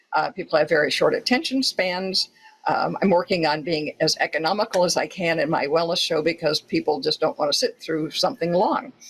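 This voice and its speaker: Against noticeable background noise, a woman with a fairly low pitch talks at a fairly quick pace, her intonation lively and her loudness very even. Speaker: wellness educator and network marketer. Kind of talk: interview. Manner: halting.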